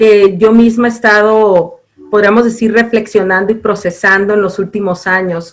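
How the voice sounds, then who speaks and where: A woman speaks at a fairly high pitch. Her pace is moderate and her intonation fairly even. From Mazatlán, Sinaloa, Mexico. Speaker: university program director. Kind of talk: interview.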